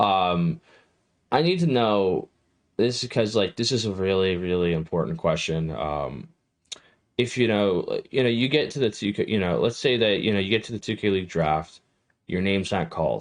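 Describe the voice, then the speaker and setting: A plain, everyday voice from a man, fairly low-pitched, with lively intonation at a moderate pace against a quiet background. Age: 20s. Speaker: esports show host interviewer. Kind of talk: casual interview. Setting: livestream.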